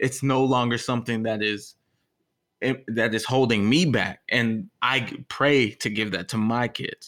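A man speaks with an American accent. His pitch is medium, with ordinary variation. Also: very clean recording, silent background. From Texas. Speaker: podcast co-host. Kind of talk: casual conversation. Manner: halting, repeats words.

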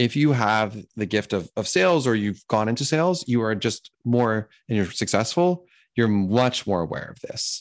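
Against a very clean recording with a silent background, a man with an American accent and a normal speaking voice talks at a moderate pace and medium pitch, using lively intonation and hardly any pauses. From Pittsburgh, Pennsylvania. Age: 30s. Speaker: software company founder. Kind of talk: casual interview.

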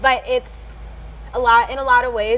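The pace is moderate. Noticeable background noise is present. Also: woman. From US South, South Carolina coast. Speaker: musician. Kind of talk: interview. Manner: halting.

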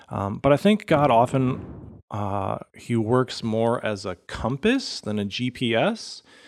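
Speaking at a very slow pace with hardly any pauses, a man uses ordinary pitch variation in a very clean recording with a silent background. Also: medium pitch for a man. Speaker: pastor. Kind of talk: casual chat.

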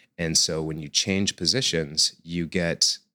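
A man with an American accent speaks at a fairly slow pace with a very deep, low pitch, ordinary pitch variation and a bright, sharp tone. The recording is very clean, dry and close, with a silent background and no echo. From United States. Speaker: acrobat and yoga teacher. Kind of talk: interview.

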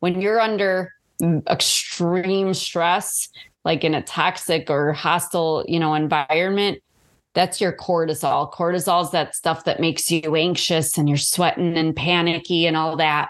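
A woman talks at a fairly slow pace with an unremarkable speaking voice. Her fairly low pitch has fairly even intonation, and her loudness stays very even. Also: quiet background. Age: 40s. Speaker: author and abuse survivor. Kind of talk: interview.

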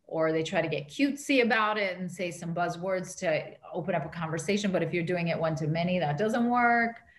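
A woman's somewhat breathy voice, fairly low in pitch, with ordinary pitch variation and a fairly quick pace. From Canada. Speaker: marketing strategist. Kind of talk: interview.

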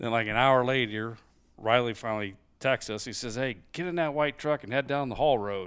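Recorded very cleanly against a silent background, a man with a Midwestern US accent talks at a fairly quick pace in a medium pitch with ordinary pitch variation. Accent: general Midwestern US. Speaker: hunting guest. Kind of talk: casual chat. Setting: studio.

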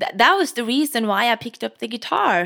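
A woman with a Norwegian accent speaks at a moderate pace. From Norway. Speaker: guitarist and singer-songwriter. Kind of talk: casual interview chat. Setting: video call.

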